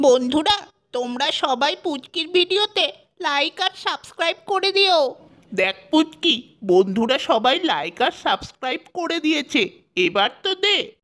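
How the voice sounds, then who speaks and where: This is a cartoonish character voice pitched high. It moves at a moderate pace. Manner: wheedling, sly.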